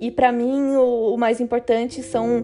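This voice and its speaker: With noticeable background noise behind her, a woman talks at a fairly high pitch in a monotone, flat delivery. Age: 20s. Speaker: podcast host. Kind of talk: solo podcast monologue. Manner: casual, conversational.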